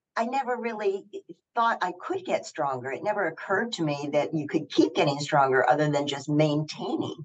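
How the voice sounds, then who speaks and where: Against a quiet background, a woman talks with a fairly low pitch. Her voice makes very wide pitch swings. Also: fairly quick pace. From US South. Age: 70s. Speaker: athlete and actress; actress. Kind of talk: casual chat. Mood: reflective, upbeat. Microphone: video call.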